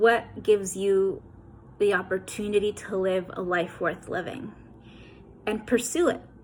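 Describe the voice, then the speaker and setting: Woman with an American accent, somewhat breathy and medium in pitch, at a fairly slow pace. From New York City (Queens/Brooklyn). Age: 30s. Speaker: author. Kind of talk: motivational address. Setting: recorded video message.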